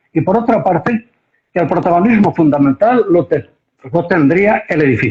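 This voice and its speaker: Pitched high, a man speaks with lively intonation. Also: moderate pace. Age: 80s+. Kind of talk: interview. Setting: Instagram live stream. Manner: animated.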